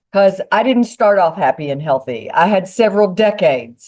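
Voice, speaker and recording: With an American accent, a woman speaks at medium pitch and a moderate pace. Her pitch swings very widely. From Kentucky, US. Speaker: wellness business owner, podcast guest. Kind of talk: casual chat.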